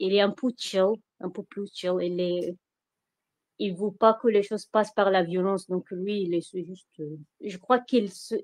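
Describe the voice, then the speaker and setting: The woman's voice sits at medium pitch with fairly even intonation and a fairly slow pace, broken by long, frequent pauses. Her loudness swings widely, and the sound is dry and close, with no echo. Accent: strong Iraqi. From Iraq. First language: Arabic (speaking French). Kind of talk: testimony. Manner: halting, many hesitations.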